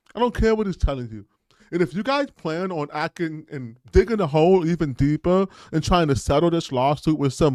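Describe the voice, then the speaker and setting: A man speaks in an animated, high-pitched voice with lively intonation at a moderate pace. The recording is very clean, with a silent background and a dry, close sound with no echo. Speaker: political commentary podcaster. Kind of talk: opinion monologue.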